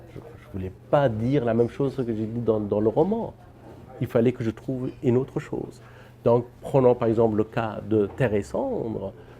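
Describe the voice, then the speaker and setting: This man's voice has a dark, mellow tone. His pitch sits in the medium range. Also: moderate pace. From Afghanistan. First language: Persian (speaking French). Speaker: novelist and filmmaker. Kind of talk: interview. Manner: halting, with repetitions.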